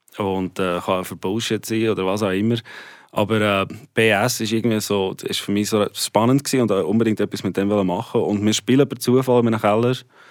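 A man speaks in a fairly low voice at a moderate pace, keeping his intonation fairly even. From South Africa. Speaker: rock musician. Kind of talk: radio interview.

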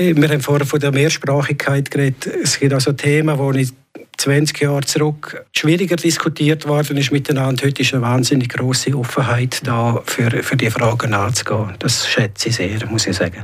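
This man talks with a Graubünden accent at a fairly high pitch, and his pitch varies normally. Noticeable background noise runs under the recording. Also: moderate pace. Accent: Graubünden Swiss German dialect. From Switzerland, Graubünden. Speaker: local politician. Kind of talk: radio interview. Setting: studio. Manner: halting.

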